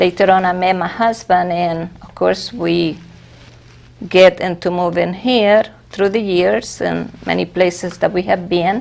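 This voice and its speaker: A woman speaks with a Spanish accent at a fairly slow pace and fairly low pitch. Her intonation stays fairly even while her loudness swings widely. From Venezuela. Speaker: church officer. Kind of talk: interview.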